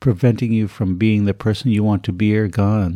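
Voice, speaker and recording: A man speaks in a calm, gentle tone that is also dark and mellow. The recording is very clean with a silent background, and the sound is dry and close with no echo. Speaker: podcast host and yoga teacher. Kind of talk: guided meditation, leading a close-your-eyes visualization exercise. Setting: podcast recording. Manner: calm, slow, gentle and instructive.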